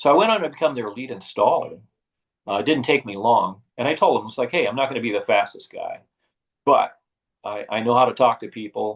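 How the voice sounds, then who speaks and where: Speaking at a fairly quick pace, a man's voice shows big swings in loudness. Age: 60s. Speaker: retired bike shop owner. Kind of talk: interview storytelling. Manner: halting with frequent fillers.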